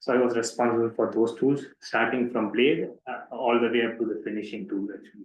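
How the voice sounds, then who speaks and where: With audible room echo, a man of medium pitch talks at a fairly quick pace with fairly even intonation. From southern India, Pondicherry. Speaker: doctoral researcher. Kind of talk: lecture. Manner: fast.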